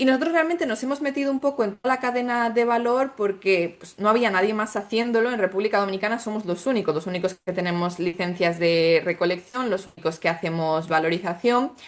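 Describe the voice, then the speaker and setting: A woman with a Spanish accent at a very fast pace, lively in intonation with hardly any pauses, over noticeable background noise. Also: medium pitch for a woman. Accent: Spanish (Spain). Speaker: startup founder in sargassum recycling. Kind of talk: webinar panel answer.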